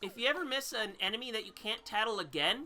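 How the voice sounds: The voice here is a natural reading voice. That holds from start to finish.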